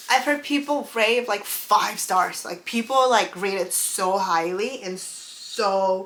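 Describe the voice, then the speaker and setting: A woman's medium-pitched voice with a non-native accent, very slow pace and ordinary pitch variation. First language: not English. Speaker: book and beauty YouTuber. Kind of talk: casual vlog chat. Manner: halting, stumbles over names.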